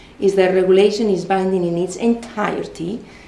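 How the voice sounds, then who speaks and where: The woman's words come at a fairly quick pace. There is audible room echo. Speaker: law professor. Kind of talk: conference talk. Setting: conference with audience. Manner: repetitive false starts.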